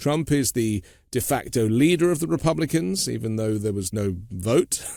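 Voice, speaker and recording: A man with a British accent, very wide pitch swings, and a very clean recording over a silent background. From Britain. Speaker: podcast host. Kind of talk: interview.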